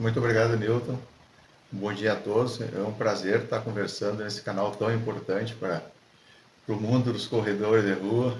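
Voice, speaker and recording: A fairly low-pitched man's voice, somewhat breathy and flat in a monotone, with audible room echo. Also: moderate pace. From southern Brazil, Rio Grande do Sul (Alegrete). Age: 60s. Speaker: ultramarathon runner, supermarket supervisor. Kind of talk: casual interview. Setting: at the host's home.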